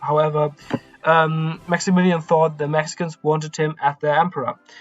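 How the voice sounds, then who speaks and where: Music plays in the background as a man speaks with a non-native accent. His fairly high voice stays monotone and flat. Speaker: history YouTuber. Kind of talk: history narration to camera. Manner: hesitant, many fillers.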